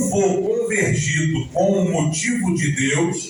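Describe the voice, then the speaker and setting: Noticeable background noise and audible room echo surround a man speaking at a very slow pace. His pitch swings very widely. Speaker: preacher. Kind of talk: sermon. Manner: slow, deliberate pacing.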